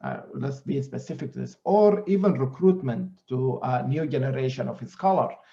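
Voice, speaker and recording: A man speaks with an Arabic accent at a moderate pace. His intonation is lively. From Sudan and Greece. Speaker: scholar. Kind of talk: panel discussion.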